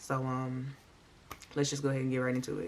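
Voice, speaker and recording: A woman speaks quietly over noticeable background noise. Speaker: true crime and makeup YouTuber. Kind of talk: casual storytelling while doing makeup. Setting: at home, late at night. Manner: talking low, quiet; chatty, conversational.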